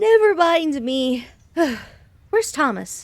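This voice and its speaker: A put-on character voice with a high pitch. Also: fairly slow pace. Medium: audio drama. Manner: tired, then indignant.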